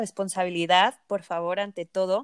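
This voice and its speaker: With a Mexican accent, the voice comes through dry and close with no echo on a very clean recording with a silent background. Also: woman. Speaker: nutritionist podcast co-host. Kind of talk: casual chat.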